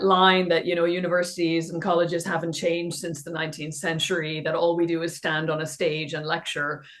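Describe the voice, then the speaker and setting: Against noticeable background noise, a woman talks at a fairly quick pace with hardly any pauses, her fairly low voice holding a fairly even intonation. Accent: Irish. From Ireland, west of Ireland. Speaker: professor, digital education expert. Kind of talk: podcast interview.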